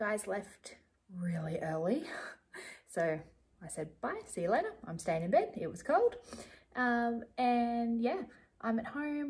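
Against a quiet background, a woman speaks at a fairly slow pace, with long, frequent pauses and very wide pitch swings. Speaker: vlogger. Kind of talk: casual vlog chat. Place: home room. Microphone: phone near.

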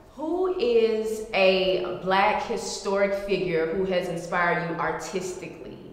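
Hardly any pauses, with audible room echo. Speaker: interviewer, community partnerships program manager. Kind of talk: interview host. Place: hall.

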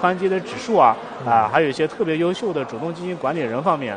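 Noticeable background noise runs under this clip. A man talks very fast. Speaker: guest. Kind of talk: interview answer. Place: stage.

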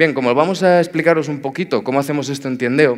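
A man talking at a very fast pace. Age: 40s. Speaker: tech executive, conference speaker. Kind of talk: conference talk.

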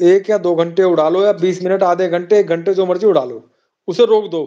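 Against a quiet background, a man speaks in a high pitch with ordinary pitch variation. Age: 50s. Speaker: pigeon fancier; guest. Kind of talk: casual chat. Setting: live stream. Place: home room. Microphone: phone near.

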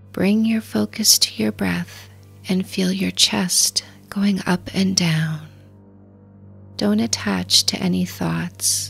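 A woman's very slow, calm speech with long, frequent pauses over music in the background. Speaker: dating coach. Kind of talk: guided meditation.

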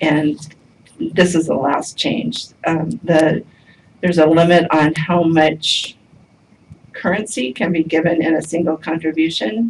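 A woman speaks at a fairly low pitch with ordinary pitch variation. Light background noise can be heard. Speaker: public presenter. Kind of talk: formal briefing to commission. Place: meeting room. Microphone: camera far.

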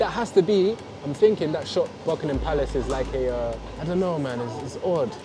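A man speaks at a fairly quick pace, with noticeable background noise in the recording. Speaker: food vlogger. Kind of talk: casual vlog chat. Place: cafe.

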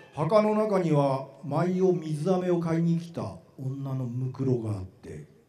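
A man's high voice with ordinary pitch variation, plus audible room echo. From Japan, Matsue. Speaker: actor. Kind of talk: literary reading performance. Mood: eerie, hushed storytelling. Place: stage. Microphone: handheld.

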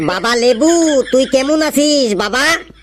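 A high-pitched cartoonish character voice over light background noise. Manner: scolding, exclamatory.

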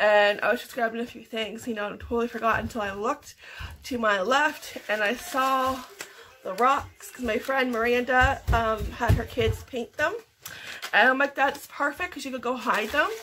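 A woman with a Canadian accent speaks in a high voice, her loudness swinging widely. Music plays behind her, and she takes long, frequent pauses. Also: ordinary pitch variation, moderate pace. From Canada. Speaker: vlogger. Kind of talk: casual vlog narration. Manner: chatty, frequent laughter; halting with fillers. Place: kitchen. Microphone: webcam.

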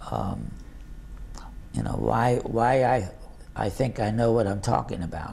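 A man with a fairly low pitch speaks at a fairly slow pace, his pitch swinging very widely. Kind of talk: interview answer. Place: home room.

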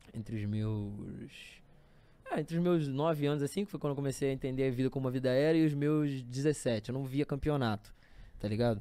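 This man talks at a fairly quick pace in a dark, mellow tone, his fairly high pitch varying in an ordinary way. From Rio de Janeiro state, Brazil. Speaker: battle rapper; podcast guest. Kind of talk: casual chat. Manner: animated. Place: studio. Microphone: studio mic.

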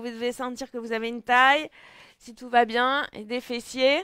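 Over a quiet background, a woman speaks with a high pitch and a bright, sharp tone, the sound dry with no echo. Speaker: fitness instructor. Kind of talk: exercise class instruction. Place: home room. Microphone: headset.

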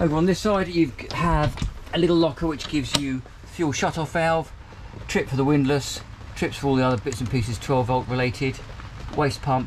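A man talks at a moderate speed, his pitch varying in an ordinary way, while noticeable background noise sits underneath. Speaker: presenter. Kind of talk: tour commentary. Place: boat. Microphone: phone near.

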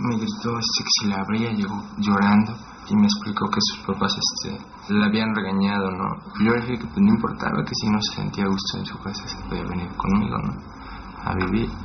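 Noticeable background noise sits under this man's fairly quick speech. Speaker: documentary interviewee; interviewee. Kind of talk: personal testimony. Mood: subdued, reflective storytelling. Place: home room.

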